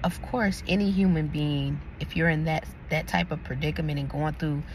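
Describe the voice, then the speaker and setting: A soft-spoken woman talks at a moderate pace. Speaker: YouTube commentator. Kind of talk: casual opinion commentary. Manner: soft-spoken, talking quietly.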